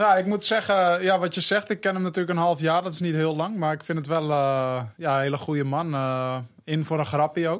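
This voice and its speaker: An ordinary speaking voice from a man with a fairly high pitch and ordinary pitch variation moves at a fairly quick pace with hardly any pauses, on a very clean recording with a silent background. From North Holland, Hoofddorp. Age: 20s. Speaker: professional footballer. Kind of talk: interview.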